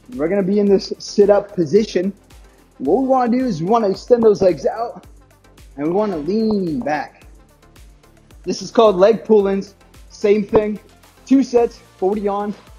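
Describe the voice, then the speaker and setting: Faint music plays in the background as a man with a high pitch and ordinary pitch variation speaks at a moderate pace with long, frequent pauses. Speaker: fitness instructor. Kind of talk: workout instruction. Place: gym.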